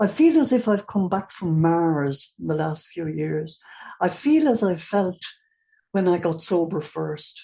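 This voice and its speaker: A woman with an Irish accent, fairly low-pitched and somewhat breathy, at a fairly slow pace with ordinary pitch variation. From Ireland. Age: 80s+. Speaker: recovery meeting speaker. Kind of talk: testimony. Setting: online meeting.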